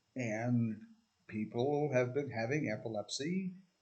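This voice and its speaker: A man with a somewhat breathy voice speaks at a very slow pace and medium pitch. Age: 60s. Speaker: video essayist. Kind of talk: casual monologue. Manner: halting, with many fillers.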